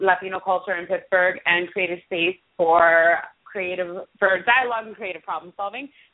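This speaker has an American accent and a plain, everyday voice, talking at a moderate pace with fairly even intonation. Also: woman. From Brooklyn, New York. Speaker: community organizer. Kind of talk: interview.

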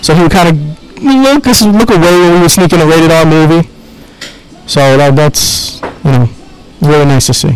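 A man with a New York accent speaks in a high voice at a moderate pace, his intonation lively. Long pauses come often, and background noise is noticeable. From Queens, New York. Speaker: film director. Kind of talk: interview.

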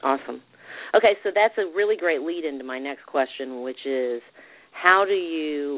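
A woman with a Southern US accent, lively intonation, and a moderate pace. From Alabama, US South. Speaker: radio show host. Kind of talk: interview.

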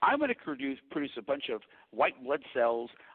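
A fairly high-pitched male voice at a fairly quick pace, with very wide pitch swings. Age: 50s. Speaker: raw milk institute founder and dairy farmer. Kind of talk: interview.

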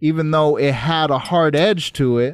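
A man with an American accent speaks at a moderate pace in a fairly high pitch, with ordinary pitch variation, on a very clean recording with a silent background. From Los Angeles. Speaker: podcast host. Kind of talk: interview. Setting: studio. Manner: excited.

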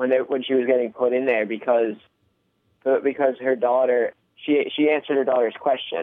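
A man speaks with an American accent in a fairly high pitch. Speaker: podcast co-host. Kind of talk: casual movie review chat.

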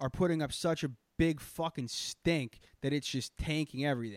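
Speaking fairly quickly with an American accent, a man has a fairly high pitch and lively intonation. The sound is dry and close with no echo, a very clean recording with a silent background. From Boston area. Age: 20s. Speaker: comedy podcast host. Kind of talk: casual chat. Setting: live stream. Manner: animated.

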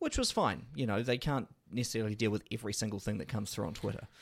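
A man's fairly low-pitched voice with ordinary pitch variation, in a very clean recording with a silent background. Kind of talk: casual chat.

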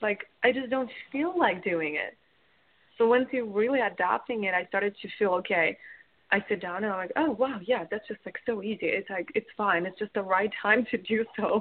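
Speaking with a Russian accent, a woman talks at a moderate pace. Her pitch is fairly high, with ordinary pitch variation. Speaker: business coach. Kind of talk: interview.

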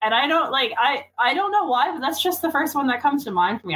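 In a Newfoundland accent, a woman talks at a very fast pace. Her pitch swings very widely. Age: 20s. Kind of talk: casual chat.

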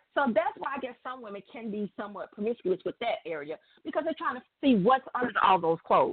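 Very fast and with very wide pitch swings, a woman talks in an American accent. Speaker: radio show guest. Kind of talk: casual chat. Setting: phone call.

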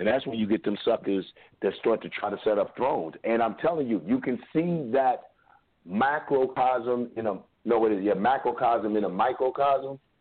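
Speaking at a moderate pace, a man with a medium pitch shows ordinary pitch variation. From Kentucky. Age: 40s. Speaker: radio host. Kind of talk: call-in talk show.

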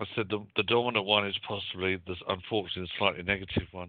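With a British accent, a man speaks in a fairly low pitch with fairly even intonation. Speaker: psychic medium. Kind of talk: casual chat with live call-in readings. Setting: radio show with phone callers.

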